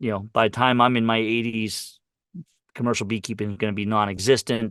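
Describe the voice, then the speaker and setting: Monotone, flat intonation and an American accent mark this fairly quick delivery over a quiet background. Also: man, medium pitch for a man. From Pennsylvania, US. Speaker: beekeeper and author. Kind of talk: interview. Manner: hesitant, with many fillers and repeats.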